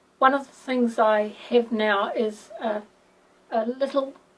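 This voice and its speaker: With a New Zealand accent, a woman speaks at a high pitch with fairly even intonation over noticeable background noise. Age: 60s. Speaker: patient. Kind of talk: testimony. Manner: halting.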